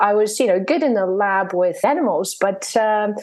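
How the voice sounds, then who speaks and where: Using a plain, everyday voice, a woman talks at a moderate pace with lively intonation. Her pitch is fairly high. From Poland, then moved to the US as a child. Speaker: neuroscientist and wellbeing coach. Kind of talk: interview.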